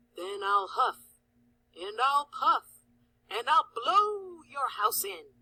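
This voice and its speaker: In a high-pitched put-on character voice, the speaker moves at a very slow pace with very wide pitch swings and long, frequent pauses. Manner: roaring.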